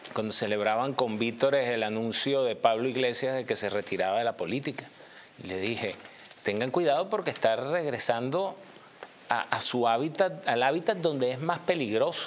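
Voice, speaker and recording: A man's moderate pace comes through over light background noise. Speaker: TV political commentator. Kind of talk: commentary. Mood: calm analytical. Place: studio.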